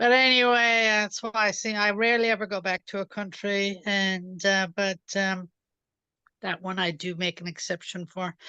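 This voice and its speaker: With a dry, close sound, no echo and a quiet background, a woman speaks in an Irish accent at a medium pitch and moderate pace, with a bright, sharp tone and fairly even intonation. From Ireland. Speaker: participant in online Q&A. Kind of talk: casual chat. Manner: halting, many fillers.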